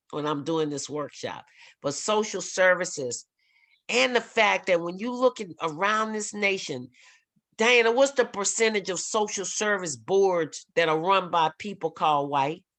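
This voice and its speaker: A woman with a New Orleans accent talks at a medium pitch with lively intonation over a quiet background. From New Orleans, Louisiana. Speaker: workshop facilitator on race. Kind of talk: workshop talk. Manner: fast; animated.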